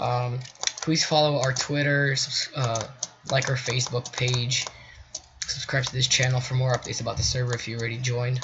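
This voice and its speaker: Over noticeable background noise, a man speaks at a fairly quick pace in a medium pitch with monotone, flat intonation. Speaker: gaming tutorial youtuber. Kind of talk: tutorial. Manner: halting.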